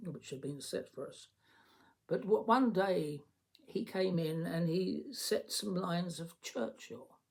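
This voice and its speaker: A man with a high pitch and lively intonation talks at a fairly slow pace. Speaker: former member of parliament. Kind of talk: personal story told to camera.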